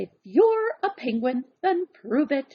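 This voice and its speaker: In a put-on character voice, a woman bellows at a high pitch. Her pitch swings very widely, and her pace is fairly slow. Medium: read story. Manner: bellowing, bossy.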